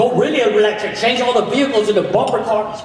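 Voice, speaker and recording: Noticeable background noise and audible room echo are present. The talking goes at a fairly quick pace. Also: man. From Puerto Rican heritage. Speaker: stand-up comedian. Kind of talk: stand-up. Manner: animated. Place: stage.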